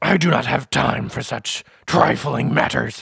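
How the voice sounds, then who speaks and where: Putting on a character voice, a man sounds booming and raspy, his pitch fairly high and his pace fairly slow. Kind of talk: fantasy villain theatrics. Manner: haughty, imperious, suspicious.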